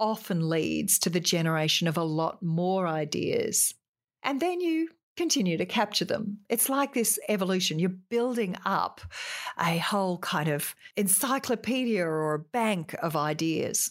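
A woman with an Australian accent speaks at a fairly slow pace and very even loudness, in a very clean recording with a silent background. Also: medium pitch for a woman. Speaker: podcast host giving business advice. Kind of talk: solo tutorial-style talk. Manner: forceful, opinionated.

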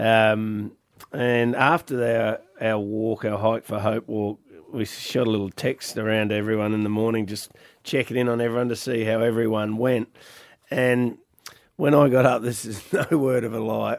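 A man speaks at medium pitch and a moderate pace. His intonation is fairly even. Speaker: radio host. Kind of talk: casual banter on a radio show. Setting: studio.

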